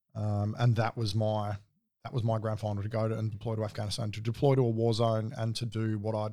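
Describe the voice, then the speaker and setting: In a very clean recording with a silent background, a man with an Australian accent speaks very fast at a fairly low pitch, his tone dark and mellow and his intonation monotone and flat. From Adelaide, Australia. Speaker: navy veteran, clearance diver. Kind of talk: interview testimony. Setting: studio.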